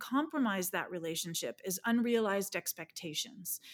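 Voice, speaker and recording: With an unremarkable speaking voice, a woman talks fairly quickly at a medium pitch with ordinary pitch variation and a dry, close sound with no echo. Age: 50s. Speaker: personal development coach and speaker. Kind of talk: interview conversation.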